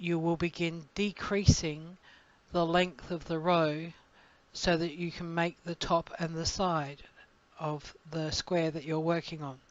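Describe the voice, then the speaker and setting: A woman in an Australian accent, fairly low in pitch, at a very slow pace. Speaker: crochet designer and teacher. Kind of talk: tutorial. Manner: casual, with fillers and hesitations.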